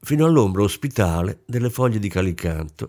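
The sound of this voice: The voice reads aloud without forcing. Intonation moves in a lively way.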